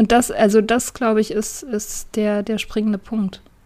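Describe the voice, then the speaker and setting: Her pitch is fairly high. This woman keeps a moderate pace. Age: 30s. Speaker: podcaster in addiction recovery. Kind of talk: casual interview.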